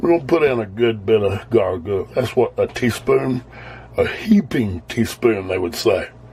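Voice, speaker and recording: A man with an American accent speaks at a moderate pace. Noticeable background noise can be heard. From US South. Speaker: home cooking video host. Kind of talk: cooking tutorial. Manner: casual, relaxed.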